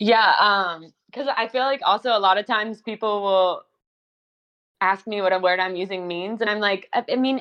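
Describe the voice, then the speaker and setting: Speaking at a moderate pace, a woman uses a normal speaking voice with a medium pitch and ordinary pitch variation. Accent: American. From US South. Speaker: podcast guest. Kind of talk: casual chat.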